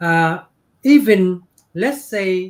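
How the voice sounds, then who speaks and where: With a Vietnamese accent, a man speaks at a high pitch. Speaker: business owner. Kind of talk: interview. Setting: livestream.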